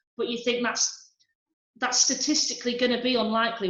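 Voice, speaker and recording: A woman speaks with a Yorkshire accent. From Harrogate, Yorkshire, England. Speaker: stand-up comedian. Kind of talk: interview answer. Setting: video call.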